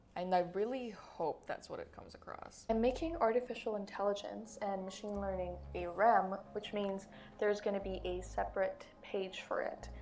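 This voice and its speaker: With hardly any pauses, a woman talks at a moderate pace with big swings in loudness and audible room echo. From Philippines. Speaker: YouTuber, study tool tutor. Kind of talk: screen-recording tutorial commentary. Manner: casual, self-correcting.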